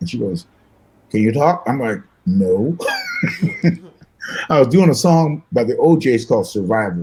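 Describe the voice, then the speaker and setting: Here a man speaks with an American accent. His intonation is lively. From US Midwest, Michigan. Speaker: singer and guitarist. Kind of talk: interview storytelling. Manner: fast; animated.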